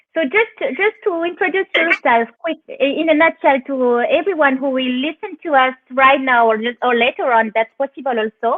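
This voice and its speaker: A woman with a French accent speaks at a moderate pace, her high voice rising and falling in a lively way. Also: hardly any pauses. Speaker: interviewer. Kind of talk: live interview. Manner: halting.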